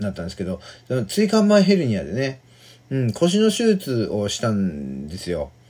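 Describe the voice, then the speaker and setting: The man's voice sits at a medium pitch and moves at a moderate pace. It makes very wide pitch swings. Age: 40s. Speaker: podcaster. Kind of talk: casual monologue. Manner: halting, many fillers.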